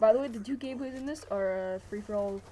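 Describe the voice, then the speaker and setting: The speaker's voice shows ordinary pitch variation, with music playing in the background. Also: woman. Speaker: gaming commentator. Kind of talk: gameplay commentary. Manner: fast; casual.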